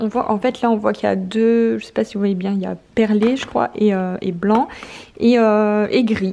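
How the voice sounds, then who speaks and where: Over noticeable background noise, a woman talks at a very slow pace and a fairly high pitch. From northern France (Nord). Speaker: lifestyle vlogger. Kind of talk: casual vlog with product review. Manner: hesitant, many fillers.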